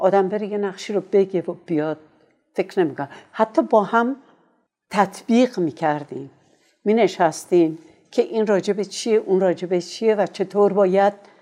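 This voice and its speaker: The voice has a dark, mellow tone and ordinary pitch variation, moving at a moderate pace with long, frequent pauses against a quiet background. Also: woman, medium pitch for a woman. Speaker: veteran voice actor and radio announcer. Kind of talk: oral history interview.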